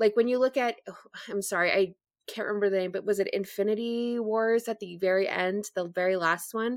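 Her normal speaking voice sits at a medium pitch, and the woman talks at a fairly quick pace with fairly even intonation in a dry, close sound with no echo. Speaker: podcast guest. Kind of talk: casual chat.

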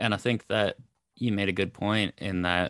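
A man with a Canadian accent and a fairly low pitch speaks at a moderate pace with monotone, flat intonation, in a dry, close sound with no echo on a very clean recording with a silent background. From Canada. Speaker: finance podcast host. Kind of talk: casual interview.

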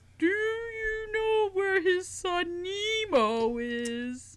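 A put-on character voice pitched extremely high, swinging very widely in pitch and moving at a very slow pace. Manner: mocking.

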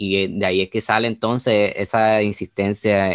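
A man with a fairly low pitch speaks at a moderate pace in a monotone, flat intonation. The recording is dry and close with no echo, very clean over a silent background. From Puerto Rico. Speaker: musicologist, master's graduate. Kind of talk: casual chat. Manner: halting.

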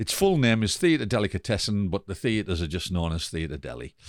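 A fairly low-pitched man with an English accent on a very clean recording with a silent background. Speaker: theatre director and actor. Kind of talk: casual interview.

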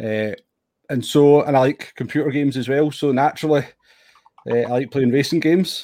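A man with a Scottish accent speaks at a medium pitch with fairly even intonation. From Scotland. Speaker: sim racer. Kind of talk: casual interview.

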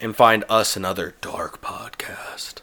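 A woman's whispered, put-on character voice, dramatic in tone, at a fairly slow pace. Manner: dark, dramatic.

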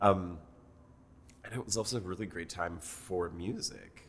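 A man's very deep, low voice, somewhat breathy, with ordinary pitch variation and long, frequent pauses. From Mexico City, Mexico. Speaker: brand consultant and executive coach. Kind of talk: casual interview.

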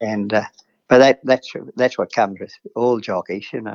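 A man with an Australian accent talks in a fairly low voice with ordinary pitch variation. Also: dry, close sound with no echo. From Queensland, Australia. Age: 70s. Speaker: retired jockey. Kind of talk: interview. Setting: phone call.

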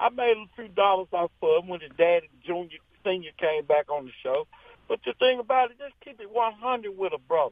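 Big swings in loudness mark this man's high voice as he talks at a fairly quick pace with lively intonation. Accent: American. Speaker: radio show caller. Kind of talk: casual call-in chat. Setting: phone call. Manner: animated.

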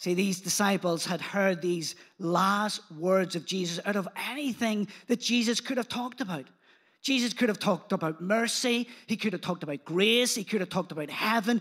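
A man's high-pitched voice with a Belfast accent. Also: ordinary pitch variation, moderate pace. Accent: Northern Irish (Belfast), moderately strong. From Belfast, Northern Ireland. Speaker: pastor. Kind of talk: sermon. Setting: church with congregation and online stream.

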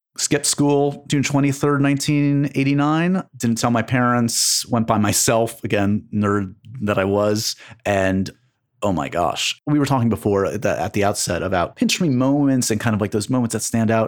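A man with an American accent talks in a normal speaking voice at medium pitch and a moderate pace. His pitch variation is ordinary and his loudness very even. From New York City, Manhattan. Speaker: entertainment journalist and podcast host. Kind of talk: casual interview conversation.

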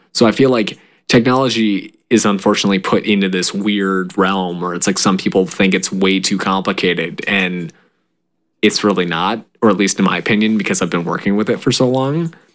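Ordinary pitch variation and a fairly low pitch come through as a man talks in an ordinary speaking voice. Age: 20s. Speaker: podcast co-host. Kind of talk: casual chat.

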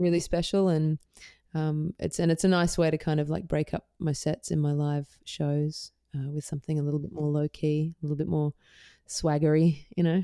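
In an Australian accent, a woman speaks at a very deep, low pitch with a dark, mellow tone. Her intonation is monotone and flat, and the sound is dry and close with no echo. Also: moderate pace, very clean recording, silent background. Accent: mild Australian. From Perth, Western Australia. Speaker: singer-songwriter. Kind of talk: casual interview chat.

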